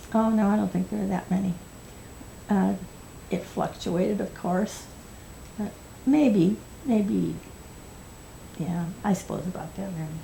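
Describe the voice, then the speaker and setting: A woman with an American accent speaks at a fairly slow pace, leaving long, frequent pauses. Her voice is medium-pitched with ordinary pitch variation, a dark, mellow tone and vocal fry. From US Midwest, northern Illinois. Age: 80s+. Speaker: oral history interviewee. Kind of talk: oral history interview.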